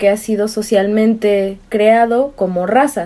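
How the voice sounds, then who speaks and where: At a very slow pace, a woman speaks with a dark, mellow tone. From Mexico, Veracruz. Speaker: student researcher on racism. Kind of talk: casual chat.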